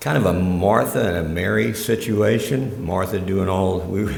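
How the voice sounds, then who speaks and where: A man with a very deep, low voice and ordinary pitch variation is heard with noticeable background noise and audible room echo. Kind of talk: religious talk to a congregation. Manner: animated storytelling.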